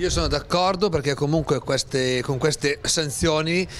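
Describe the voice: With a fairly bright tone, a man talks at a moderate pace and keeps his intonation fairly even.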